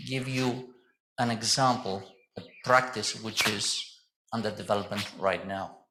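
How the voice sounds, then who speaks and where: Loud and bright with a sharp tone, a man at medium pitch speaks at a fairly slow pace with fairly even intonation and audible room echo. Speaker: mechanical engineer, safety committee chairman presenting. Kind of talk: conference presentation.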